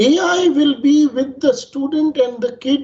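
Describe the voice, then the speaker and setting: A man talks in a Bengali accent. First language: Bangla. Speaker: panelist. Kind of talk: panel discussion. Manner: formal.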